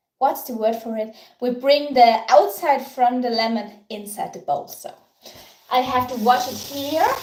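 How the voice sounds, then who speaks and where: In an Austrian accent, a woman talks at high pitch with big swings in loudness, and the room echo is audible. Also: ordinary pitch variation. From Austria, Tyrol. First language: German (Tyrolean dialect). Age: 30s. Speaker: baking livestreamer. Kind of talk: live baking tutorial with chat. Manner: halting.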